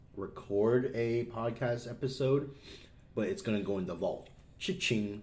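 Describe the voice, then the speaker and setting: Somewhat breathy and at a medium pitch, a man speaks at a fairly slow pace with lively intonation. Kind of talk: casual chat.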